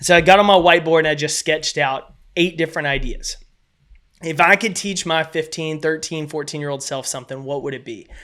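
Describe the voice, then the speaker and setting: A man's fairly high, bright, sharp voice at a fairly quick pace, fairly even in intonation with big swings in loudness, on a very clean recording with a silent background. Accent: Texas. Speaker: keynote speaker and author. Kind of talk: podcast interview.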